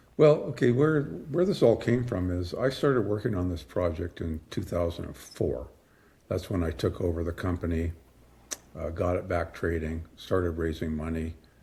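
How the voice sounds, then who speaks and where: The voice moves at a moderate pace with lively intonation, a dark, mellow tone and a somewhat breathy quality. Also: man, very deep, low pitch for a man. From British Columbia, Canada. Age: 70s. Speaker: mining company president. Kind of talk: interview.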